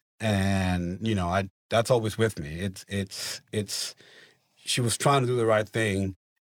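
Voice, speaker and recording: In a Venezuelan accent, a man speaks at a fairly slow pace with a fairly low pitch and fairly even intonation, in a very clean recording with a silent background and a dry, close sound with no echo. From Venezuela (Maracaibo). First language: Spanish. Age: 30s. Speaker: company finance manager. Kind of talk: casual interview.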